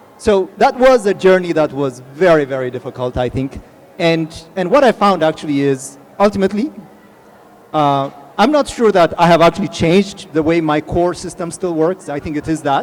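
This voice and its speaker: A man's high-pitched voice with an Ethiopian accent, lively intonation and a moderate pace, over noticeable background noise. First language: Amharic. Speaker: tech executive, panelist. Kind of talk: panel discussion.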